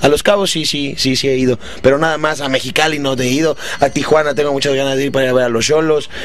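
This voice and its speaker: Talking at a very fast pace, a man has a fairly high pitch and fairly even intonation, with a dry sound and no echo. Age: 30s. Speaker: stand-up comedian. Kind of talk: interview. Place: home room. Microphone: handheld.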